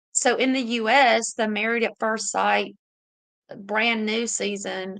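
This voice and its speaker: Against a quiet background, a woman with a Southern US accent speaks very slowly at a fairly high pitch with ordinary variation. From US South. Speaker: YouTuber reading live chat. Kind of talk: casual livestream chat. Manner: animated.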